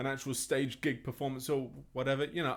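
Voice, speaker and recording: A man speaks at a medium pitch with an English accent. The recording is very clean, with a silent background. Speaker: music teacher. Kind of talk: interview.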